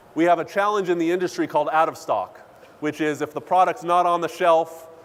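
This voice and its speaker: Fairly even intonation at a fairly quick pace over noticeable background noise. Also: man. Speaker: corporate data executive. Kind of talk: keynote speech. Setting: conference stage with audience. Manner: many filler uhs.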